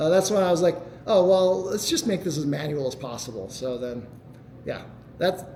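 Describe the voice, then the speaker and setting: A man's high voice with lively intonation, audible room echo and noticeable background noise. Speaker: software developer presenting a tool. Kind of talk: meetup tech talk Q&A. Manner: fast.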